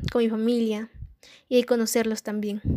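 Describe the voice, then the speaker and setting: A woman speaks at a moderate pace in a fairly high pitch with a dark, mellow tone. The sound is dry and close, with no echo. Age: young. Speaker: student. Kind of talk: personal testimony. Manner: scripted reading.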